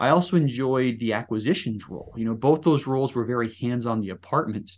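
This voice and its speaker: Against a quiet background, a man with an American accent talks at a fairly quick pace in a plain, everyday voice with ordinary pitch variation. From Utah, Salt Lake City area. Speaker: real estate investor, retired Marine. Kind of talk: interview.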